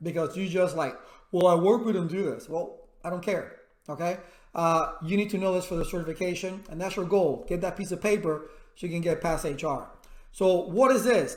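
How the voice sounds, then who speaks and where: The voice is loud and fairly quick, with audible room echo. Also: man, high pitch for a man. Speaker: IT instructor. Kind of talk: tutorial. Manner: animated.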